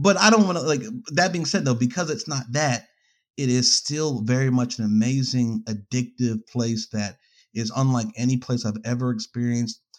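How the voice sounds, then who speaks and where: Recorded very cleanly against a silent background, an ordinary speaking voice with an American accent moves at a moderate pace with ordinary pitch variation. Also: man, medium pitch for a man. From New York. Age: 30s. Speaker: filmmaker and photographer. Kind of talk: casual interview.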